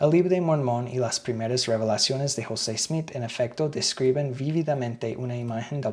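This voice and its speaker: Speaking at a moderate pace with a non-native accent, a man at medium pitch shows ordinary pitch variation against noticeable background noise. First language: English (speaking Spanish). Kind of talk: reading aloud with commentary.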